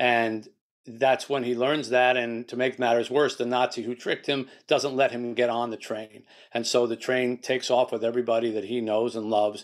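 Against a quiet background, a man speaks at a moderate pace. His intonation stays monotone and flat. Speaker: guest. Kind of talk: interview answer. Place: home room. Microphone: video call.

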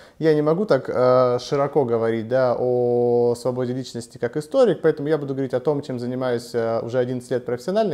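At a fairly quick pace with hardly any pauses, a man speaks with ordinary pitch variation. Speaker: interview guest. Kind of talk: interview answer. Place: studio. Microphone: lapel.

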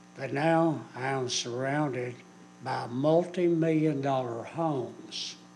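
Through audible room echo, a man with an American accent speaks with fairly even intonation. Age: 70s. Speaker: local resident at public hearing. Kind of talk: public comment. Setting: city council meeting.

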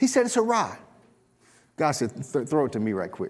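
The voice moves in very wide pitch swings. Its pace is moderate. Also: man. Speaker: pastor. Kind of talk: sermon. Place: church. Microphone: lapel.

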